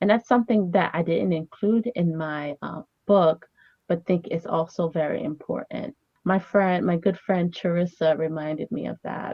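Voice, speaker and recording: A woman speaks in a Haitian accent at a moderate pace. Her pitch is fairly low, with ordinary pitch variation. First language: Haitian Creole. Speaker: family therapist and author. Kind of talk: interview. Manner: hesitant, many fillers.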